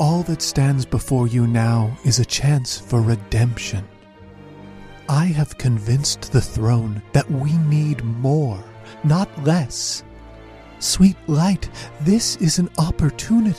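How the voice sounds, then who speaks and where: A man's put-on character voice at medium pitch and a fairly slow pace, with clear music in the background. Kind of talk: solemn heavenly pronouncement. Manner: commanding, grand.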